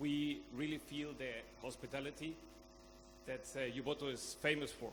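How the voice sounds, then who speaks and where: A man talks at a moderate pace with flat, monotone intonation. Room echo is audible around him. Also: fairly high pitch for a man. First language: Spanish. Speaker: conference speaker. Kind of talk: conference talk. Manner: halting.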